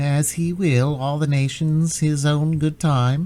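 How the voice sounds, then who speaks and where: In a put-on character voice, a man talks in a flat monotone at a fairly high pitch and fairly slow pace, sounding nasal and keeping his loudness very even. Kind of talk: pious, biblical.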